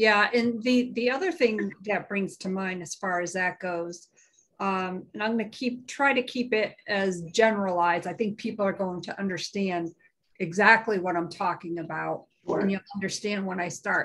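The woman's pace is moderate. Her pitch shifts in an ordinary way. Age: 50s. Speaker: live stream co-host. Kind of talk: casual chat. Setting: live stream. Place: home room. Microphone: video call.

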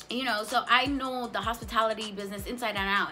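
Faint music plays in the background as a woman speaks at a very fast pace with fairly even intonation. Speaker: cannabis vlogger. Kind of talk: casual vlog chat.

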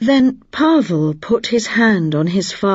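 A natural reading voice carries the passage.

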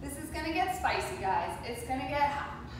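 Noticeable background noise and strong room echo surround a woman speaking at a high pitch. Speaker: fitness instructor. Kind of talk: workout instruction. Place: home room.

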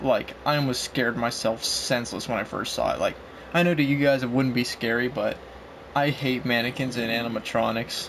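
A man with a medium-pitched voice talks at a fairly quick pace with fairly even intonation over noticeable background noise. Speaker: gaming youtuber. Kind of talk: gameplay commentary. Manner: halting, many fillers.

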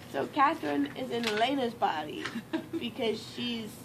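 A woman's moderate-paced speech is heard with noticeable background noise around it. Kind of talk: casual rambling chat. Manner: sleepy, drugged rambling. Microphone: camera far.

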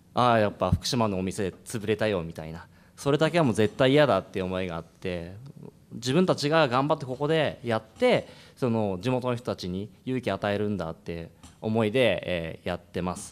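This man has a plain, everyday voice with a fairly low pitch, lively intonation and a moderate pace. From Iwaki, Fukushima, Japan; Fukushima, Japan. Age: 30s. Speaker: restaurant business owner; panelist. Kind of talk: panel discussion. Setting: stage with audience. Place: hall. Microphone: podium.

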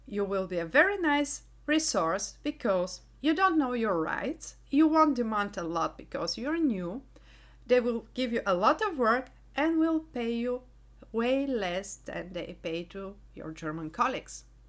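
A woman's fairly high voice with a Bulgarian accent, very wide pitch swings and a fairly slow pace. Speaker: engineering YouTuber, quality manager. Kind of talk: vlog monologue.

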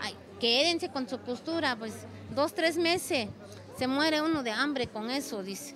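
A woman's high voice, fairly slow and with lively intonation, dry with no echo, over crowd noise in the background. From Oaxaca, Mexico. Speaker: textile artisan; interviewee. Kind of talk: interview. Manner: halting, with fillers. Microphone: handheld.

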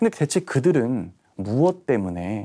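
A man speaks with a dark, mellow tone and very wide pitch swings. The background is quiet. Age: young. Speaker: history writer; history writer lecturer. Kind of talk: lecture. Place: studio. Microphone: lapel.

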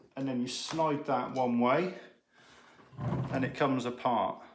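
Light background noise and audible room echo around a fairly slow male speaker. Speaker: ham radio hobbyist. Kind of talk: casual vlog chat. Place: home room.

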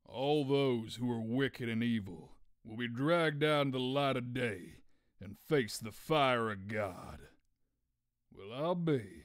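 A man puts on a character voice at a medium pitch, speaking at a fairly slow pace. The recording is very clean, with a silent background. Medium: dub.

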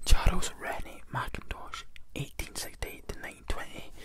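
A soft-spoken whisper over loud background noise. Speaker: book reviewer. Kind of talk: casual read-aloud commentary. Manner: soft whispered reading voice. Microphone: phone near.

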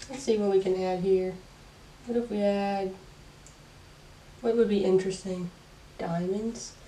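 Her dark, mellow tone somewhat breathy and relaxed, a woman talks at a moderate pace in a monotone, flat intonation with long, frequent pauses. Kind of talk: casual talk to camera. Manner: relaxed, chill.

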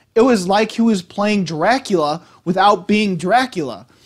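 Pitched high for a man, his voice shows ordinary pitch variation.

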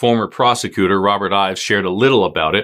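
The background is quiet here. A man talks at a moderate speed. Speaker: true crime podcast host. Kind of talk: true-crime narration, scripted recap. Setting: YouTube video podcast. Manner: dramatic, suspenseful storytelling; conversational, wry asides. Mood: serious, earnest. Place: studio.

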